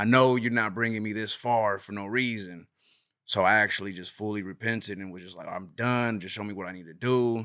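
Speaking at a fairly quick pace with an American accent, a man has a bright, sharp tone and big swings in loudness. The recording is very clean with a silent background. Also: fairly even intonation. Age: 30s. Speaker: guest sharing testimony. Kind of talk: testimony.

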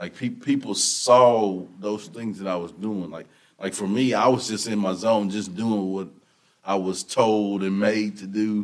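Speaking with a Texan accent, a man with a fairly low pitch talks at a fairly slow pace. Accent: Texan Southern US. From Texas. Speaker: motivational speaker and football coach. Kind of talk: casual interview. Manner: animated.

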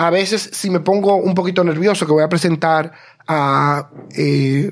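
The man's voice sits high in pitch, with ordinary pitch variation. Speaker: podcast co-host. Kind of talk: casual chat. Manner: fast.

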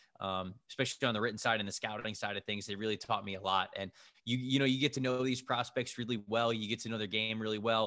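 A man talks at a very fast pace, medium in pitch, with fairly even intonation. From Florida, Tampa area. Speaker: football analyst. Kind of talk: casual chat. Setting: video call.

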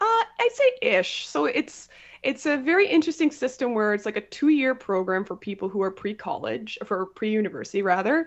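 In a Canadian accent, a woman with a normal speaking voice talks at a fairly quick pace with fairly high pitch and lively intonation. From Ontario, Canada. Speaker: college teacher and science podcast host. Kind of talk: casual interview chat.

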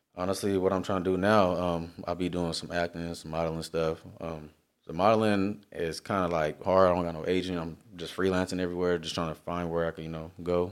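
A man speaks in a very deep, low voice. His intonation is monotone and flat, and his pace is fairly quick. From Long Beach, California. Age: 20s. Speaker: artist and airport worker. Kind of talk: casual chat.

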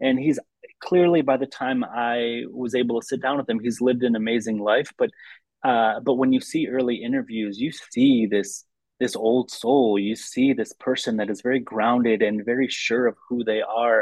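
A plain, everyday voice from a man with an American accent, medium in pitch, at a moderate pace with fairly even intonation. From US Midwest, Lansing, Michigan. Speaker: documentary film director. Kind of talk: interview conversation.

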